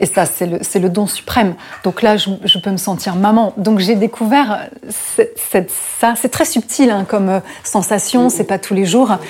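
A woman talks at a fairly slow pace in a medium pitch with ordinary pitch variation. Noticeable background noise sits behind her. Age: 40s. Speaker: historian and journalist. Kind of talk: casual chat.

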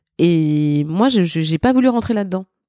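In a very clean recording with a silent background, a woman's dark, mellow, medium-pitched voice comes through dry and close, with no echo. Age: 50s. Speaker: backing singer and lyricist. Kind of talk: interview. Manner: halting.

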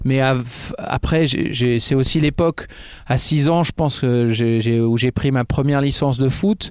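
A normal speaking voice at a fairly slow pace, with ordinary pitch variation and very even loudness. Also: man, medium pitch for a man. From Picardie, northern France (Oise). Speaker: football commentator. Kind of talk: casual interview. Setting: studio.

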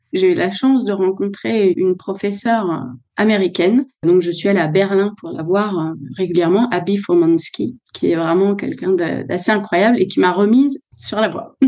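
The woman speaks in a dark, mellow tone with ordinary pitch variation. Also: medium pitch for a woman, moderate pace. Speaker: opera singer. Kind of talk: interview conversation. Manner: hesitant with fillers.

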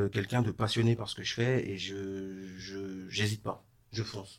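A man's fairly low, fairly evenly intoned voice on a very clean recording with a silent background. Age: 30s. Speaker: renovation business owner. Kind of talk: interview. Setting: studio.

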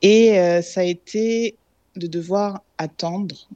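In a dry, close recording with no echo, a woman speaks in a dark, mellow tone with ordinary pitch variation. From France. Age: 30s. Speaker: expatriate mother. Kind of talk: interview testimony.

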